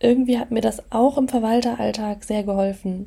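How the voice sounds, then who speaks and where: A woman speaks at a moderate pace in a fairly high pitch, somewhat breathy, with a dark, mellow tone and ordinary pitch variation. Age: 20s. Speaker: podcast host and property manager. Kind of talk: casual solo podcast monologue.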